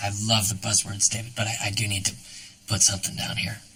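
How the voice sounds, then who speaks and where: In a put-on character voice, a man speaks very fast, raspy and fairly low, in a monotone, flat delivery. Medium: short film. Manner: warm, easygoing.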